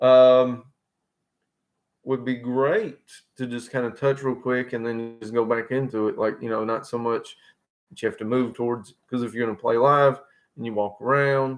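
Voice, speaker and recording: At a moderate pace and medium pitch, a man speaks with monotone, flat intonation and long, frequent pauses. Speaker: guitarist streaming solo. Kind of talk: casual live stream monologue. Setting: solo live stream. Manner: rambling, filler-heavy.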